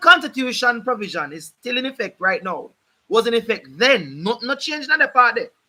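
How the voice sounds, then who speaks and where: A man's raised, projected voice at an extremely high pitch, animated and with very wide pitch swings, in a Jamaican accent at a moderate pace. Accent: Jamaican English with patois features. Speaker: legal commentator, channel host. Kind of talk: live stream talk on law. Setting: live stream. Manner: animated, emphatic.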